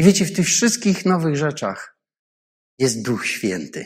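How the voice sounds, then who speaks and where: A man talks at a very slow pace. His fairly high voice moves in very wide pitch swings. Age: 50s. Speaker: pastor. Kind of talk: sermon.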